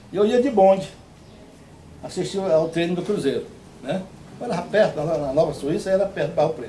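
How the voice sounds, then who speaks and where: A man talks at a fairly quick pace, broken by long, frequent pauses, with ordinary pitch variation and a high pitch for a man. The recording carries audible room echo and noticeable background noise. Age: 70s. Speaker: retired futsal player. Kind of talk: interview. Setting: on a rural farm property. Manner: halting.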